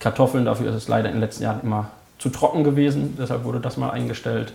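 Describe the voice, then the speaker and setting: A man talks at a very fast pace. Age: 20s. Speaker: hunter and holiday resort operator. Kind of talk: casual interview.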